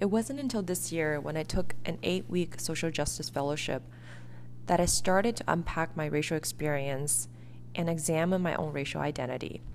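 A woman with a Chinese accent talks at a moderate pace. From China, then US from age 11. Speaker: podcast host. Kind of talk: reflective solo monologue.

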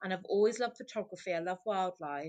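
A woman with a Welsh accent against a quiet background. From Wales. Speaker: marine mammal medic and wildlife photographer. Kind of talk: casual interview.

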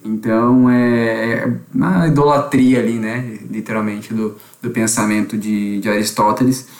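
A man with a plain, everyday voice speaks at medium pitch with fairly even intonation. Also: fairly slow pace. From Blumenau, Santa Catarina, Brazil. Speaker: theology student. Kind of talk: casual podcast chat.

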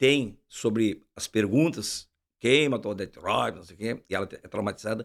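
A man is speaking. His tone is animated. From Uruguaiana, Rio Grande do Sul, Brazil. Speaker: podcast host. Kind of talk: casual interview chat. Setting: studio.

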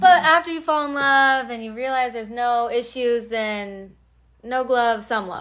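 A woman with a high voice speaks at a fairly slow pace in an animated tone. Her loudness swings widely. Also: ordinary pitch variation. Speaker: friend. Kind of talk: casual chat, pep talk. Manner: animated, profane.

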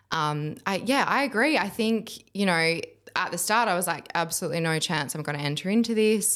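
The delivery is fairly quick, in an Australian accent. The intonation is lively. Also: woman, medium pitch for a woman. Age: 20s. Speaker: curve model. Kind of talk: casual chat.

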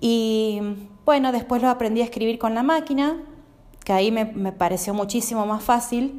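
This woman talks at a moderate pace, her fairly high voice rising and falling in an ordinary way. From Argentina, Santa Fe province. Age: 40s. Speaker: blind guest, translator. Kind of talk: interview. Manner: hesitant, frequent fillers.

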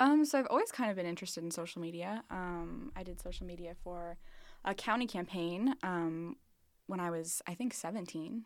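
A woman with an unremarkable speaking voice talks at a fairly quick pace in a fairly low pitch with lively intonation, in a very clean recording with a silent background. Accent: American. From southern Missouri, Springfield. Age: 20s. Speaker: college student, social media manager. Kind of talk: casual interview. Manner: filler-heavy, laughs often.

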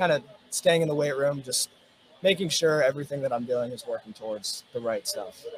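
At a fairly quick pace, a man with an American accent talks with ordinary pitch variation against noticeable background noise. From Virginia (Richmond). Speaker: college swimmer. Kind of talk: casual interview.

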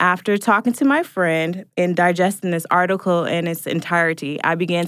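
An unremarkable speaking voice with an American accent talks at a moderate pace and ordinary pitch variation in a very clean recording with a silent background. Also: woman. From US Pacific Northwest (Portland, Oregon). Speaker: podcast producer, guest co-host. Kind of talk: casual chat.

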